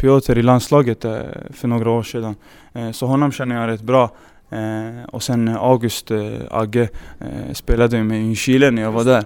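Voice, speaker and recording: With long, frequent pauses, a man holds fairly even intonation at a medium pitch and a moderate pace. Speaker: professional footballer. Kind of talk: interview.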